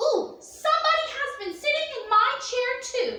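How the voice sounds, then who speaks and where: Using a squeaky, put-on character voice at an extremely high pitch, a woman speaks at a moderate pace with a slight echo. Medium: read story.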